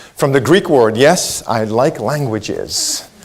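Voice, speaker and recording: Very wide pitch swings mark this man's speech. Noticeable background noise is present. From Israel. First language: Hebrew. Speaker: leadership coach and keynote speaker. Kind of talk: keynote speech. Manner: animated.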